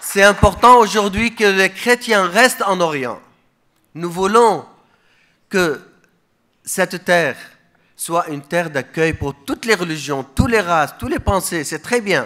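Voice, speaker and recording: A man's high, raised and projected voice, bright and sharp in tone, with lively intonation, a fairly slow pace and long, frequent pauses. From Iraq, Mosul. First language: Aramaic (speaking French). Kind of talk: conference speech.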